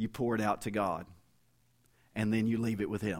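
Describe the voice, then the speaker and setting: At a moderate pace, a man speaks with a Kentucky accent at a medium pitch. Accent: Kentucky Southern US. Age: 50s. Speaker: interim pastor and visiting preacher. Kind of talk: sermon. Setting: church.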